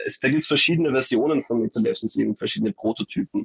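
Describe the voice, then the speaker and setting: Very fast speech from a man. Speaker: graduate, art education student. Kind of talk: interview about his thesis. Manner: animated.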